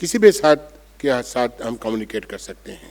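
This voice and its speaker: This is a man speaking. His pitch varies an ordinary amount. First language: Bengali (speaking Hindi). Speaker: monk and spiritual speaker. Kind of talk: conference speech. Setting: auditorium with audience.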